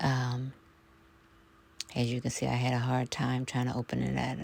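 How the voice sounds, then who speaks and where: Soft-spoken and very deep in pitch, a woman talks at a fairly slow pace. Her pitch varies in an ordinary way. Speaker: home cook vlogger. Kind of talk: casual talk to camera, cooking vlog narration. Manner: soft-spoken, chatty, rambling.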